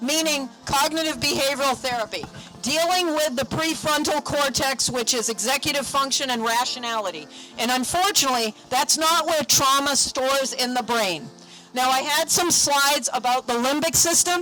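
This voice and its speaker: Using a raised, projected voice at very even loudness, a woman with a New England accent speaks high in pitch with ordinary variation. Her moderate pace comes through noticeable background noise. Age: 50s. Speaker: mental health counselor. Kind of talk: speech at a rally.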